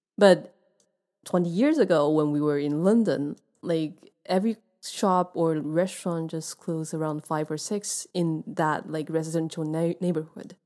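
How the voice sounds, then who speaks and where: On a very clean recording with a silent background, a woman speaks in a Chinese accent at a fairly low pitch. Her tone is dark and mellow, her pace fairly slow, her intonation fairly even. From Taiwan. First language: Mandarin Chinese. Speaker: podcast host. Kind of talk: casual interview. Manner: halting.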